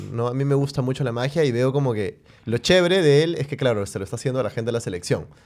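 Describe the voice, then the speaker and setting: Talking at a very fast pace, a man keeps ordinary pitch variation. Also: quiet background. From Peru. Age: 30s. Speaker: podcast host; podcast host or guest. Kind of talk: casual chat. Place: studio. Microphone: studio mic.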